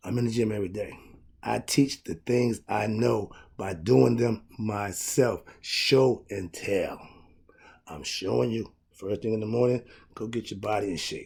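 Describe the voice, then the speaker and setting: At a fairly slow pace, a man speaks at a medium pitch with ordinary pitch variation and some vocal fry. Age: 60s. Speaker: self-help life coach. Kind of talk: motivational talk to camera. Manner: upbeat.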